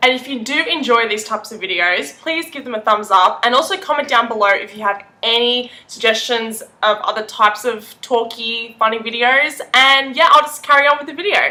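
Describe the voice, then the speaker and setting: A woman with an Australian accent speaks in an animated tone at a moderate pace and fairly high pitch, with ordinary pitch variation and hardly any pauses. Her loudness swings widely over noticeable background noise. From Australia, Melbourne. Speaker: lifestyle vlogger. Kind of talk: casual talk to camera.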